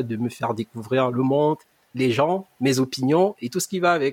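The speaker has a plain, everyday voice at a moderate pace. The sound is dry and close, with no echo. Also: man. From Cameroon, Yaoundé. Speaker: podcast co-host, student. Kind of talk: casual podcast introduction.

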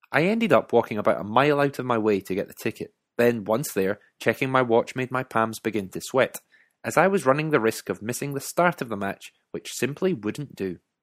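A man speaks at a fairly quick pace in a Scottish accent. The recording is very clean, with a silent background and a dry, close sound with no echo. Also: medium pitch for a man, lively intonation. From Scotland. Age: 30s. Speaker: author and podcaster. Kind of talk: scripted narration.

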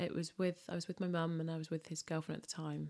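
A dark, mellow voice speaks with a London accent. The recording is very clean, with a silent background. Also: woman. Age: 30s. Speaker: food and events entrepreneur. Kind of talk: interview about personal loss.

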